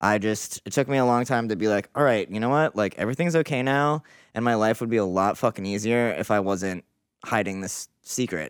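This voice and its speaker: In a very clean recording with a silent background, a man with a fairly low pitch uses ordinary pitch variation and an ordinary speaking voice. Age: 30s. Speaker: artist. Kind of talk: casual chat.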